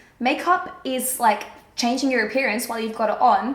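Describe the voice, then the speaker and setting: A woman speaks very fast at a high pitch in an animated tone with ordinary pitch variation. Audible room echo and noticeable background noise are present. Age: 20s. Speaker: beauty vlogger. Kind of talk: casual chat. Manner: chatty, animated.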